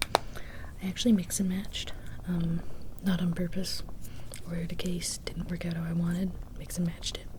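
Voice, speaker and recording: Soft-spoken, relaxed delivery at a moderate pace, with long, frequent pauses and noticeable background noise. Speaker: ASMR content creator. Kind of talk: ASMR soft-spoken talk to camera. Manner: soft-spoken, relaxed, chatty.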